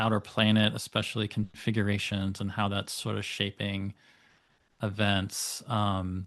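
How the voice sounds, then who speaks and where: The speaker talks at a fairly slow pace in an American accent. The intonation is monotone and flat, and the background is quiet. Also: man. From United States. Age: 40s. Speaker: astrologer. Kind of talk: interview conversation. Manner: hesitant, many fillers.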